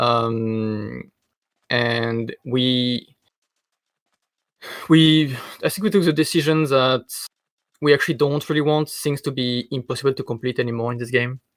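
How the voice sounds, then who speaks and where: A man with a strong French accent and fairly even intonation. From France. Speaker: game designer. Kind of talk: interview on live stream. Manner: hesitant, many fillers.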